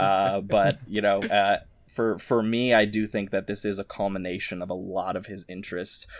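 In a very clean recording with a silent background, a man with a plain, everyday voice talks at a fairly quick pace, with a fairly low pitch and fairly even intonation. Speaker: podcast host. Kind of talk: casual chat.

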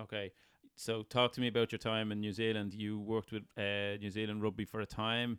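With an Irish accent, a man speaks at a moderate pace and a fairly low pitch. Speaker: podcast host. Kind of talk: interview.

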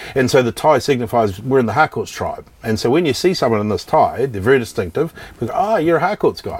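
Over noticeable background noise, a man with a New Zealand accent talks at a very fast pace and medium pitch, his pitch swinging very widely. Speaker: real estate company executive. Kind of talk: casual interview chat.

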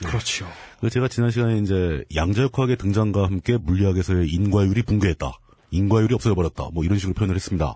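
A man talks very fast in a fairly low, dark, mellow voice that is somewhat breathy. His pitch varies in an ordinary way and his loudness stays very even. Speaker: political commentator. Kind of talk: casual chat. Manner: halting.

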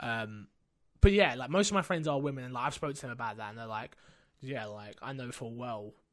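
A normal speaking voice with lively intonation, a fairly quick pace and big swings in loudness, on a very clean recording with a silent background. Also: man, medium pitch for a man. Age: 20s. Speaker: streamer and podcast host. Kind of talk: casual chat. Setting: home streaming setup.

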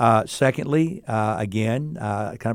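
A man with a plain, everyday voice, medium pitch and ordinary pitch variation, on a very clean recording with a silent background. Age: 60s. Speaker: seminary president. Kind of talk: interview.

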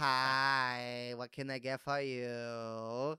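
A raspy, put-on character voice sits at a low-to-middle pitch and delivers everything in a monotone, flat intonation. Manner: friendly, cheerful.

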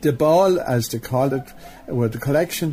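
Medium-pitched male speech over music in the background. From Ireland, County Leitrim. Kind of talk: interview recollection.

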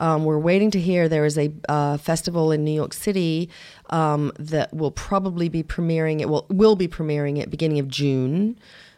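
The voice carries a dark, mellow tone. It moves at a moderate pace with fairly even intonation. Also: woman, very deep, low pitch for a woman. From England. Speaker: independent filmmaker. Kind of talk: interview conversation.

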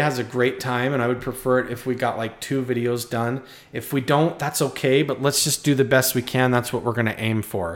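A man's medium-pitched voice, fairly quick in pace, with ordinary pitch variation. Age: 30s. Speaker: YouTuber podcast host. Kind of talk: solo monologue podcast. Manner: hesitant with fillers and repetitions.

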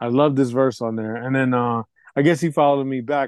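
In a dry, close recording with no echo and a quiet background, a man talks in an ordinary speaking voice at a medium pitch with fairly even intonation. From Puerto Rican heritage, US. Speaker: hip hop producer and DJ. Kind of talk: interview. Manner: repetitive, restarts sentences.

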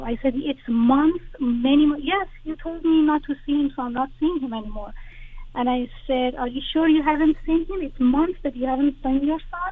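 A woman with a Persian accent speaks in a high voice with ordinary pitch variation over noticeable background noise. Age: 40s. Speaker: caller. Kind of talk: personal advice call. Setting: phone call.

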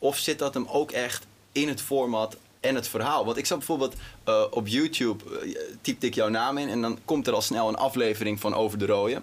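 Here is a man with a plain, everyday voice and medium pitch. He speaks at a fairly quick pace with ordinary pitch variation. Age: 20s. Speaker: interview host. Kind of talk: interview.

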